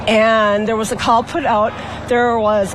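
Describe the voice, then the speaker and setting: A woman speaks at a fairly slow pace and a fairly high pitch. Audible room echo and noticeable background noise are present. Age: 50s. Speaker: local resident at a protest. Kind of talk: street interview. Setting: outdoors at night.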